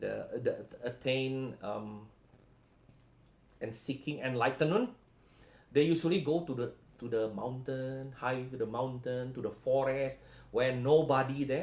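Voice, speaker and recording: Somewhat breathy man at a medium pitch and moderate pace, with ordinary pitch variation. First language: not English. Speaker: spiritual healing coach. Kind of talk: live stream talk. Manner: halting.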